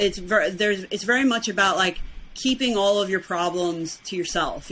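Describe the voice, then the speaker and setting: A woman speaks with an American accent. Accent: New York accent, noticed by others. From Brooklyn, New York. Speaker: weight loss challenge winner. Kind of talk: podcast interview.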